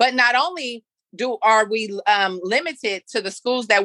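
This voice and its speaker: The voice has a bright, sharp tone, moderate pace, and ordinary pitch variation, recorded dry and close with no echo over a quiet background. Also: woman. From San Francisco, US. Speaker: nonprofit founder and youth mentor. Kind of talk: interview.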